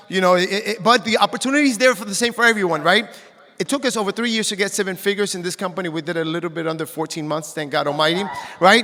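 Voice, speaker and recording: Amid noticeable background noise, a high-pitched man uses a raised, projected voice, animated in tone with ordinary pitch variation, at a very fast pace. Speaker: network marketing distributor. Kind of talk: stage testimony. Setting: stage with audience.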